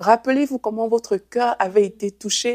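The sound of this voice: A woman speaks at a moderate pace with a fairly high pitch, ordinary pitch variation and a slightly mellow tone, in a dry, close sound with no echo.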